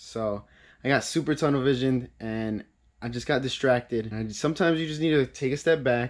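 Ordinary pitch variation comes through as a man talks at a moderate pace. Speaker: car hobbyist vlogger. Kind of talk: casual vlog chat. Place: garage. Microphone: camera far.

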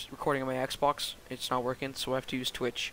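A man speaks at a very fast pace. The sound is dry with no echo, over light background noise. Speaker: gamer. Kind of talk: casual gameplay commentary.

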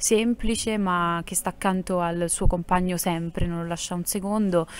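This is a woman's voice. She keeps her intonation fairly even. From Apulia (Salento); Apulia. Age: young. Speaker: actress and singer; actress. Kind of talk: interview. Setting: theatre. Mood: warm, cheerful. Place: stage. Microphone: handheld.

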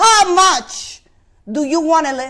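Speech comes at a very slow pace over a quiet background. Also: woman. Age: 50s. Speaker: preacher. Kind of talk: sermon. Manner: halting, with many repetitions. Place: church. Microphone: lapel.

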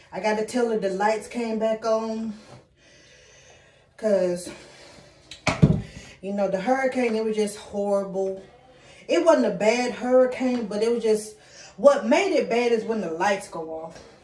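A woman speaks at a fairly slow pace with ordinary pitch variation and long, frequent pauses. Audible room echo and light background noise surround her voice. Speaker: vlogger. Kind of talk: casual vlog chat. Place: home room. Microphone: phone near.

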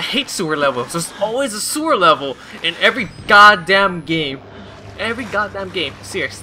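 A man with a high pitch uses a raised, projected voice and very wide pitch swings. He talks at a fairly quick pace over light background noise. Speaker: gaming video creator. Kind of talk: let's play commentary. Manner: animated, frequent laughter. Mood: annoyed, nervous, joking. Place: home room. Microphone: headset.

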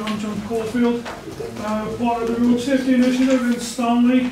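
A man speaks with an extremely high pitch and monotone, flat intonation. Audible room echo and light background noise are present. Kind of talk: public participation statement. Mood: aggrieved, complaining. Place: meeting room. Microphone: camera far.

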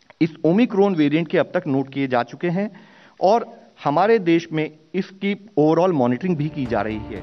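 A man talks at a moderate pace, with faint music in the background. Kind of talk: press briefing statement. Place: hall. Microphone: podium.

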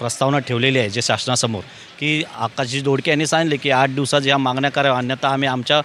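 A man talks in an ordinary speaking voice at a medium pitch, with fairly even intonation and very even loudness. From Mumbai, Worli. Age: young. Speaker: ward coordinator for a political party. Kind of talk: on-location interview. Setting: outdoors at a sports ground.

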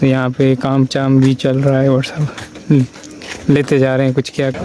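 A man talks at a moderate pace in a flat monotone, with a dry, echo-free sound and light background noise. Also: very even loudness. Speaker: travel vlogger. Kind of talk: casual vlog chat. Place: street. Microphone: phone near.

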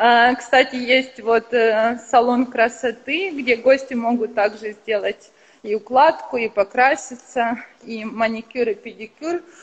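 Very slowly and with fairly even intonation, a woman speaks at a high pitch over noticeable background noise. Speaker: hotel representative. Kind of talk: guided hotel tour on a live stream. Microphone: internet connection dropped.

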